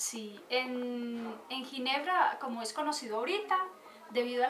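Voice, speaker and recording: Here a woman speaks at a fairly slow pace, her pitch high and her intonation lively. Noticeable background noise and audible room echo are present. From Colombia, Manizales. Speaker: church volunteer and translator. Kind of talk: interview.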